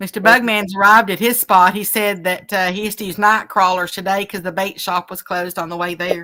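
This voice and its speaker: A woman speaks at a fairly quick pace in a monotone, with flat intonation. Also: medium pitch for a woman, hardly any pauses, big swings in loudness. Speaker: livestream co-host reading chat. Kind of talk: casual chat on a fishing livestream. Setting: outdoors on a river. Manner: loud.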